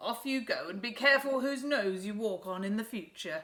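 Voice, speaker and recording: A put-on character voice, female-sounding, raised and projected, at a fairly high pitch. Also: moderate pace. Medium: read story. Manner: proud, lordly.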